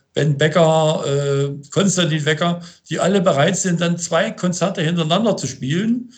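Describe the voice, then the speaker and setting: The man's pitch sits high and varies in an ordinary way as he speaks at a moderate pace. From Thuringia, Germany (Gotha district). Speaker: band and tour manager. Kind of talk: interview. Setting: remote call. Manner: halting, many fillers and repetitions.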